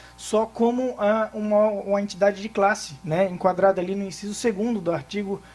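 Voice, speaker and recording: A man with a Florianópolis accent speaks in a high pitch. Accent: Florianópolis accent, noticeable. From Florianópolis, southern Brazil. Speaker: tax lawyer. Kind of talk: conference talk. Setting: workshop with audience. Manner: fast; hesitant, many fillers.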